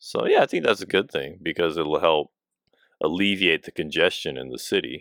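Man with big swings in loudness, dry, close sound with no echo, on a very clean recording with a silent background. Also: moderate pace. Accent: American. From United States. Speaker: podcast co-host. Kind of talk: casual chat. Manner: halting.

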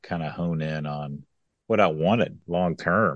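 A man with a Kentucky accent speaks at a fairly slow pace in a very deep, low pitch with fairly even intonation against a quiet background. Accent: Southern US (Kentucky). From West Kentucky. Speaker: economic development executive. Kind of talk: interview conversation. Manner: frequent fillers and repetitions.

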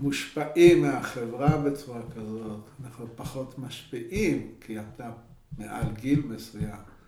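The speech moves at a very slow pace with big swings in loudness and ordinary pitch variation, over noticeable background noise and audible room echo. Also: man, medium pitch for a man. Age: 70s. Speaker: geriatrician and professor. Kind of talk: interview. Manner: halting.

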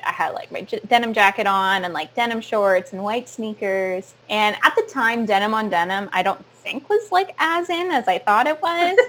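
A woman's fairly high voice with a Canadian accent, very wide pitch swings and a moderate pace. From Sarnia, Ontario, Canada. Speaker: actor and theater educator. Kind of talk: casual interview chat.

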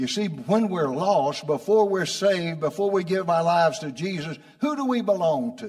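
Lively intonation with hardly any pauses, over noticeable background noise. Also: man, high pitch for a man, moderate pace. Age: 80s. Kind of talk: sermon. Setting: church. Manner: animated, warm, homely, with call-and-response; prompting the congregation, laughs often.

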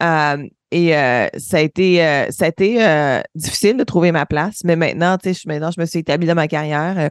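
At a moderate pace, a woman with a fairly low pitch and ordinary pitch variation speaks in a dry, close sound with no echo. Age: 30s. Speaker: aerospace engineer. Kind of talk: interview. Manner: hesitant fillers.

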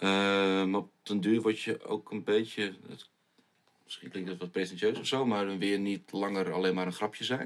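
Here is an unremarkable speaking voice at a moderate pace. Its intonation stays fairly even. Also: man, fairly low pitch for a man. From Groningen countryside, Netherlands. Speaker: pop musician. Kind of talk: casual chat.

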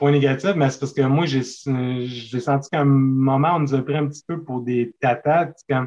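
At a moderate pace with hardly any pauses, a man talks in a plain, everyday voice at a fairly high pitch with fairly even intonation. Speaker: horror film fan and painter. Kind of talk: casual chat.

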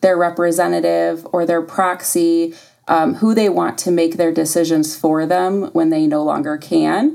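An American accent at a fairly slow pace with ordinary pitch variation, in a very clean recording with a silent background. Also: woman. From US Midwest, Toledo, Ohio. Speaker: hospice nurse. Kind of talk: podcast interview. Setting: studio. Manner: hesitant, many ums.

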